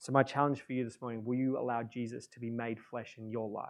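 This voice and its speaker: A man speaks at a medium pitch with fairly even intonation, recorded very cleanly against a silent background. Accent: Australian. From Australia, Adelaide. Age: 30s. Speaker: pastor. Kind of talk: sermon. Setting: church. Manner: halting.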